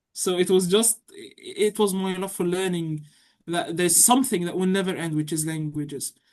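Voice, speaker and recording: The speaker is a woman with an Arabic accent and a fairly low pitch. She keeps a moderate pace and fairly even intonation. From Egypt. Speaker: university student. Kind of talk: interview.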